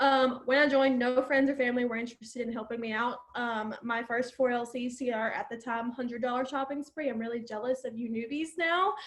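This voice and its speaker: Speaking in an Alabama accent, a woman uses a high pitch and fairly even intonation. She talks at a fairly quick pace with hardly any pauses, over noticeable background noise. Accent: Southern US (Alabama). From US South, Alabama. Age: 20s. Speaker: network marketer. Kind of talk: testimony. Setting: video call. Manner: casual, filler-heavy.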